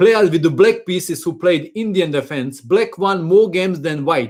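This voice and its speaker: In a very clean recording with a silent background, a speaker with a non-native accent talks at a moderate pace with ordinary pitch variation. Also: man. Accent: foreign. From Croatia. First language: Croatian. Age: 50s. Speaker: chess teacher. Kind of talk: live stream chat. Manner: halting.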